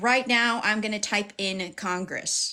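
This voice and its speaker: Her intonation fairly even, a woman with an American accent speaks in a bright, sharp tone. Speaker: livestream host and activist. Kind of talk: livestream tutorial. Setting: live stream. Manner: fast talker.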